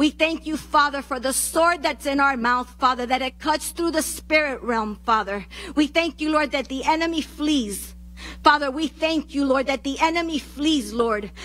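At a moderate pace, a woman speaks in a high pitch with a bright, sharp tone. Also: ordinary pitch variation. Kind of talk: fervent group prayer. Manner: halting, repeating 'Father' and 'Lord' between phrases. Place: church. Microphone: handheld.

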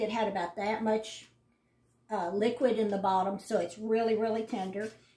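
Audible echo from the room fills the recording. The speaker is a woman. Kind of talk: casual vlog chat. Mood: warm, homely. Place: kitchen. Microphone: phone near.

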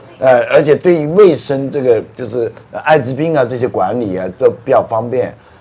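A man talks at a moderate pace and a medium pitch, with noticeable background noise behind him. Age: 60s. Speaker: tour guide. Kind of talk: casual chat. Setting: outdoors.

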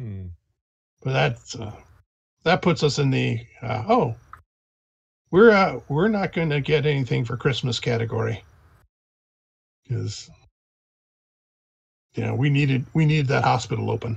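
A man performs a put-on character voice, raspy and at a medium pitch. He goes at a fairly slow pace with long, frequent pauses. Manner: relieved, grateful.

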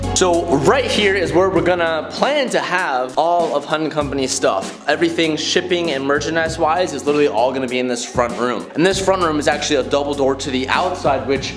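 Over clear background music, a man speaks at a fairly quick pace with hardly any pauses and ordinary pitch variation. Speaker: vlogger showing new workspace. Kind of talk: casual vlog chat. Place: empty room. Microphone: phone near.

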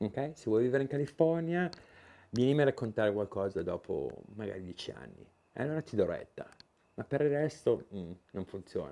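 This man's voice is dark and mellow, fairly high in pitch, with lively intonation. He talks at a moderate pace with long, frequent pauses. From Italy. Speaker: YouTuber, Italian emigrant; YouTuber. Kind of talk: vlog monologue; casual vlog chat. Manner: halting, many fillers and repetitions. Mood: relaxed, opinionated. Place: garage.

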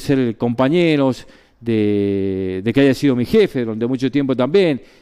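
At a fairly slow pace, a man speaks in a dark, mellow tone over a quiet background. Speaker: sports journalist / radio broadcaster, former colleague of the deceased. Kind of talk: radio tribute and eulogy for a colleague. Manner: conversational, with hesitations and fillers. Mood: warm, somber remembrance. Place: studio.

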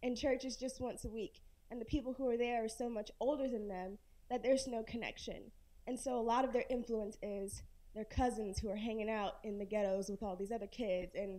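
Here is a woman with an American accent and a dark, mellow tone at a fairly high pitch. She talks at a fairly quick pace with fairly even intonation. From Florence, South Carolina; South Carolina. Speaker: audience member. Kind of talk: audience question. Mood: concerned, earnest. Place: hall.

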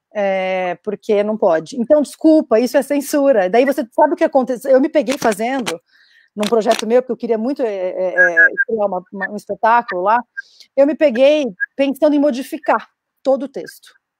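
Her pitch is high and her intonation lively. The woman's voice sounds dry, with no echo. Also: moderate pace, quiet background. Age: 30s. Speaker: actress and feminist activist; actress panelist. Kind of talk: panel discussion. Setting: video call. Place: home room. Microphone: video call.

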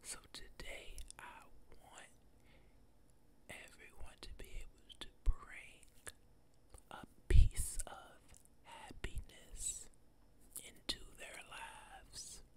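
A man whispers at a very slow pace. His speech is broken by long, frequent pauses. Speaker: ASMR creator. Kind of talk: ASMR whisper ramble, motivational talk to camera. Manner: whispered, soft-spoken. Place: home room. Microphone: studio mic.

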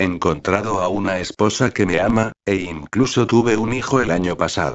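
With a normal speaking voice, a man speaks at a fairly slow pace and fairly low pitch, using ordinary pitch variation. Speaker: narrator. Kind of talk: dramatic horror narration, first-person creepypasta read aloud. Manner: slow, suspenseful, brooding.

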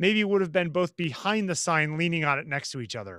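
This man's voice is high in pitch, with an American accent. The sound is dry with no echo, and the background is quiet. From US Northeast. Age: 40s. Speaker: photographer; podcast co-host. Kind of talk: casual chat. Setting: outdoors. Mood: reflective, relaxed. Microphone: video call.

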